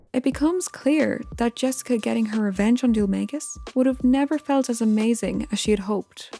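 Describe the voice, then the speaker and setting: Over noticeable background noise, a woman speaks at a fairly quick pace with a fairly high pitch. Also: ordinary pitch variation, very even loudness. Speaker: video game analysis YouTuber. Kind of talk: video essay narration.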